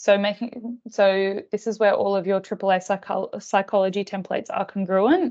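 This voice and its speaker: With hardly any pauses, a woman with an Australian accent speaks at medium pitch with fairly even intonation against a quiet background. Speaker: psychologist presenting staff training. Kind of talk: online professional training presentation. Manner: fast.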